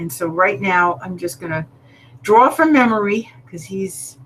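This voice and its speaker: With a plain, everyday voice, a woman speaks at a moderate pace, her medium pitch carried by lively intonation. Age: 60s. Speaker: artist and online show host. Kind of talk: casual art tutorial livestream.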